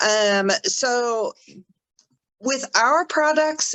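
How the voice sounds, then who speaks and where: A woman is speaking. Her intonation is lively. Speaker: essential oils educator. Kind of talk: online class.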